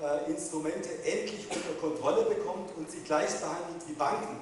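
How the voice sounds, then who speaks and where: Strong room echo surrounds a man's high-pitched voice as he talks at a fairly quick pace over light background noise. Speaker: politician. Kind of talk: panel discussion answer. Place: hall.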